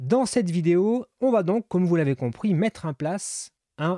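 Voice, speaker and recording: A man speaks at a moderate pace in a high pitch with very wide pitch swings and a dark, mellow tone. The recording is very clean with a silent background and a dry, close sound with no echo. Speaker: developer YouTuber. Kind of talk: tutorial. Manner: casual with frequent hesitations.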